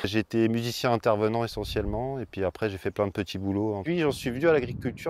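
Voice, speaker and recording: In a dry, close recording with no echo, a man at medium pitch talks at a fairly quick pace with lively intonation. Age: 30s. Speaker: organic market gardener. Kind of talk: interview. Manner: hesitant, many fillers.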